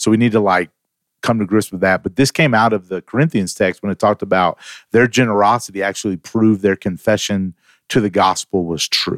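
A man with a plain, everyday voice talks fairly quickly at a fairly low pitch, with ordinary pitch variation. The recording is very clean, with a silent background and a dry, close sound with no echo. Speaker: pastor/church staff co-host.

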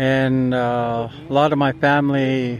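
A man talks in a medium pitch with monotone, flat intonation over noticeable background noise. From British Columbia, Canada (First Nations community). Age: 50s. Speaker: residential school survivor family member. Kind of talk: testimony. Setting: outdoors at a sacred fire.

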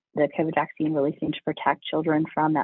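A man with a fairly high pitch and a slightly husky edge speaks in a dry, close sound with no echo.

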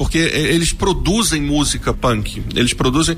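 A man's voice over noticeable background noise. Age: 40s. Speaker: history teacher and web radio host. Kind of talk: casual chat. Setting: studio.

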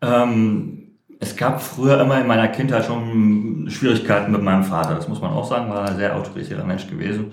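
A man at medium pitch is heard with audible room echo. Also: ordinary pitch variation, moderate pace. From Berlin, Germany. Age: 40s. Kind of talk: interview. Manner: halting, many fillers.

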